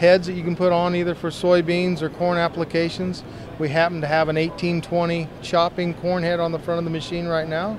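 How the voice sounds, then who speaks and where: A man's high-pitched voice in a flat monotone, at a moderate pace, with a dry, echo-free sound and noticeable background noise. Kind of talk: interview answer. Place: hall. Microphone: handheld.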